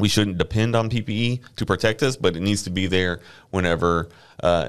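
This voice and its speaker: Using ordinary pitch variation, a man talks with a Texan accent at a fairly low pitch. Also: quiet background. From Houston area, Texas (Friendswood). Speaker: safety manager, former firefighter. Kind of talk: casual interview.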